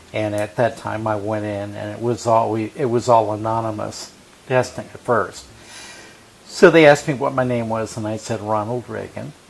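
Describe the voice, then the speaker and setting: Noticeable background noise sits behind a man at medium pitch and moderate pace. His intonation is fairly even, but his loudness swings widely. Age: 60s. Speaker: HIV survivor sharing his story. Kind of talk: interview testimony. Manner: hesitant, many fillers.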